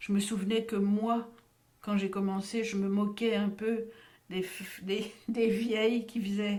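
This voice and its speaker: At a fairly slow pace, the woman's medium-pitched voice unfolds. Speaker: voice actor. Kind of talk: interview answer.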